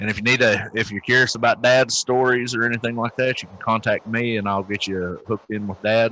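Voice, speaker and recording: A man with a Southern US accent, medium pitch, monotone and flat intonation, a fairly quick pace and hardly any pauses. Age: 40s. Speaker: podcast co-host, military veteran. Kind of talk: casual chat.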